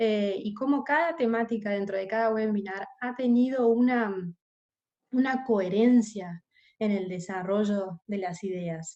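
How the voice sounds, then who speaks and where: A woman's fairly high, dark and mellow voice at a fairly slow pace. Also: ordinary pitch variation. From Argentina. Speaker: corporate investigations specialist, webinar panelist. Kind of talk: webinar presentation. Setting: online webinar. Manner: hesitant, many filler sounds.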